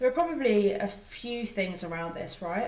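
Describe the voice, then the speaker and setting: The speaker has a British accent, with noticeable background noise and audible room echo in the recording. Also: woman. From UK, Indian family. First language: an Indian language. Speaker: panel speaker on women's careers. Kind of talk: conversational interview. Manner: hesitant, many fillers.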